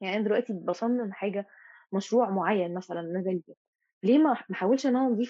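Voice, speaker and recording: An ordinary speaking voice at a fairly quick pace with ordinary pitch variation. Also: woman. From Egypt, Mansoura. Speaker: teaching assistant in fine arts. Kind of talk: casual interview chat.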